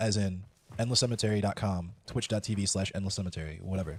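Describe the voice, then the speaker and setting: Fairly low-pitched and somewhat breathy, a man with an American accent speaks at a fairly quick pace with ordinary pitch variation. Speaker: streamer. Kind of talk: casual chat.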